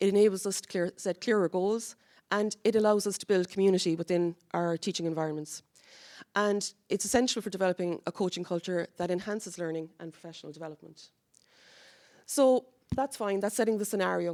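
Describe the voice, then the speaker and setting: On a very clean recording with a silent background and a dry, close sound with no echo, a woman with a Cork accent talks at a fairly quick pace, her medium pitch showing ordinary variation. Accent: Cork Irish. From Ireland, Cork. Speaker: university academic project lead. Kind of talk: conference presentation. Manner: conversational, with fillers and restarts.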